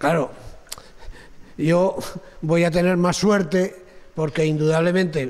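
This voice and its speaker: A man's high-pitched voice moves at a very slow pace. Long, frequent pauses break up his speech. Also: fairly even intonation. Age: 70s. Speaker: kidney transplant recipient. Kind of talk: talk to students, Q&A. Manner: halting.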